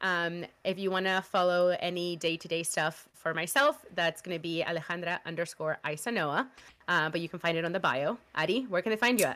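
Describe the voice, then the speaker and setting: Fairly quick and bright, a woman's fairly low voice has a sharp tone. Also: ordinary pitch variation. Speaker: podcast host. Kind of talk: casual chat. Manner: animated.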